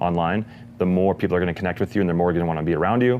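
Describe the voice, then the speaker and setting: A man with a very deep, low pitch and fairly even intonation. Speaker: online marketing expert. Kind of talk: interview. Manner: fast.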